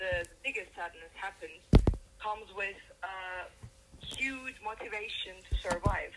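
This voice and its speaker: A woman talks fairly slowly at a medium pitch. Noticeable background noise runs behind her. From Turkey, Izmir. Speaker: singer-songwriter. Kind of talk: interview. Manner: halting.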